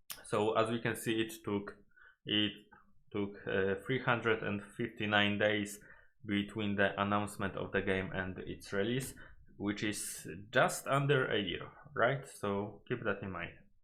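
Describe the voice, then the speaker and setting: Speaking at a fairly slow pace with a Polish accent, a man has a fairly low pitch, a bright, sharp tone and fairly even intonation. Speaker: gaming YouTuber. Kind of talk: video analysis commentary. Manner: halting, many fillers and self-corrections.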